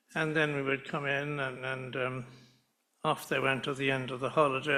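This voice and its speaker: A man with a bright, sharp tone at a moderate pace, in a very clean recording with a silent background. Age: 90s. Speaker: son of the person being honoured, retired doctor. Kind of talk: speech at a summer school event. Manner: halting, many hesitations and repeats.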